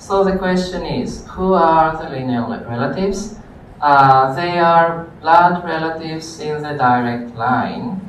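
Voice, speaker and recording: Speech comes at a fairly slow pace over noticeable background noise. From Greece. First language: Greek. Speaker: university lecturer. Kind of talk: lecture.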